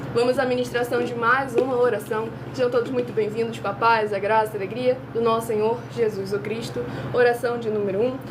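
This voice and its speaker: A woman's fairly high voice with ordinary pitch variation at a fairly quick pace, amid noticeable background noise and audible room echo. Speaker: online preacher. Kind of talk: sermon.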